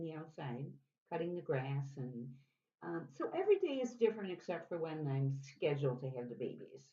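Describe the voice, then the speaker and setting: Fairly quick and with lively intonation, a woman with an American accent speaks in a very deep, low voice with a dark, mellow tone. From US Midwest, Chicago. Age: 70s. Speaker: interviewee. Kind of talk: interview.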